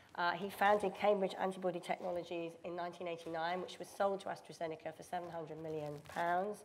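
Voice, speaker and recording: A woman with a British accent talks at a moderate pace with hardly any pauses, in a fairly low pitch and monotone, flat intonation, over light background noise. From United Kingdom. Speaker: panel chair and biotech executive. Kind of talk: panel discussion. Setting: stage with audience. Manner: halting. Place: hall.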